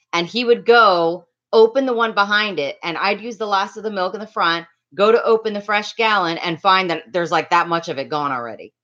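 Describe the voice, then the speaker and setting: A loud woman with a bright, sharp tone, medium pitch, ordinary pitch variation, an animated tone and a fairly quick pace. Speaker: livestreamer. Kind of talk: casual livestream chat with viewers. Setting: home livestream on laptop.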